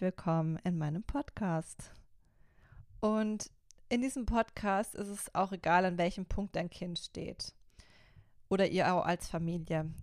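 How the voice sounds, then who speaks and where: A woman speaks very slowly at a medium pitch with ordinary pitch variation and long, frequent pauses. The sound is dry and close with no echo, in a very clean recording with a silent background. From Baden, Karlsruhe. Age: 30s. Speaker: youth life coach, podcast host. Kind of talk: solo podcast introduction.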